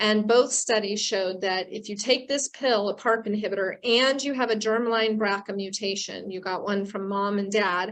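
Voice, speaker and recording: An unremarkable speaking voice from a woman, fairly high in pitch, with fairly even intonation and hardly any pauses, over a quiet background. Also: moderate pace. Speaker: oncologist and professor of medicine. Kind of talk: lecture.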